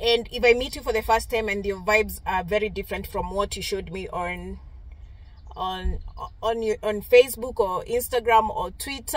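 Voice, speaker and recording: A woman's voice with vocal fry and ordinary pitch variation, at a moderate pace, the sound dry with no echo. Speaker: vlogger. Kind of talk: casual vlog chat. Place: car. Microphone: phone near.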